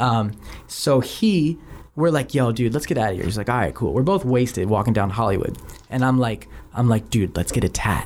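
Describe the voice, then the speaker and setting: A man's plain, everyday voice with an American accent, medium pitch, moderate pace, ordinary pitch variation, and very even loudness. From Philadelphia. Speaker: music producer and songwriter. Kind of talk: casual chat.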